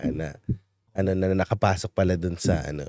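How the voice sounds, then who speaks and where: A man's dark, mellow voice sounds dry with no echo against a quiet background. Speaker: show host and media producer; show host. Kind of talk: casual chat. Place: studio. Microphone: studio mic.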